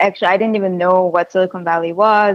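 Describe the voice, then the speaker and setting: A woman in a Korean accent speaks at a medium pitch with monotone, flat intonation. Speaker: tech company co-founder. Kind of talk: interview. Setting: video call.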